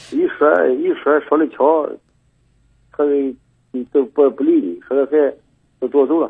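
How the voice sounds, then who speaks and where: Leaving long, frequent pauses, a man talks at a fairly slow pace. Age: 60s. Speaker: caller, father seeking advice. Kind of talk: call-in advice conversation. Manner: halting, repetitive.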